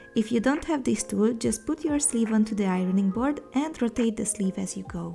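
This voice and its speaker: With a non-native accent, a woman speaks at a moderate pace in a fairly high pitch, using ordinary pitch variation and hardly any pauses as music plays in the background. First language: not English. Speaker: sewing content creator. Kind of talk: sewing tutorial voiceover. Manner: upbeat, casual.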